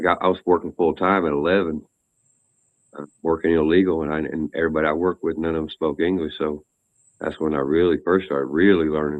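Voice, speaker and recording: A man's very deep, low voice with an American accent at a fairly quick pace. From Texas. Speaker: guest. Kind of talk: casual chat.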